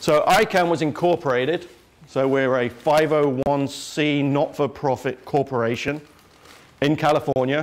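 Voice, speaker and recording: There is noticeable background noise behind a man speaking with an English accent. His pitch is fairly high and his loudness very even. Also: fairly even intonation, moderate pace. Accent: English accent, self-described as funny. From England. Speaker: internet security executive. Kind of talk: lecture. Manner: casual, joking.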